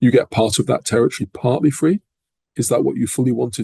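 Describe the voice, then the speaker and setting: A man with an English accent talks fairly quickly at a medium pitch, with ordinary pitch variation and vocal fry. His tone is dark and mellow, and the sound is dry and close with no echo. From England. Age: 60s. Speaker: professor. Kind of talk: interview. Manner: measured.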